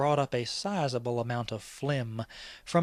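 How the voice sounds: The speaker uses a natural reading voice.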